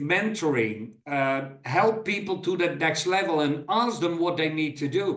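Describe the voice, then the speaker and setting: A high-pitched man's voice with lively intonation and audible room echo. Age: 60s. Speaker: business coach. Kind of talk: presentation. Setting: recorded video presentation.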